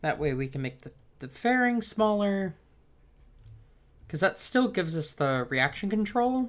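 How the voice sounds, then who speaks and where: A woman speaks softly, her pitch swinging very widely and her loudness rising and falling sharply. She leaves long pauses, and often. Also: medium pitch for a woman, moderate pace. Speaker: video game streamer. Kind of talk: live gameplay stream commentary. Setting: live stream. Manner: soft-spoken.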